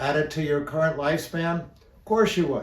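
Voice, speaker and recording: A man speaks with a high pitch. Room echo is audible. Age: 60s. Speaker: health educator. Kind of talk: educational talk. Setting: seated in a chair. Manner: relaxed.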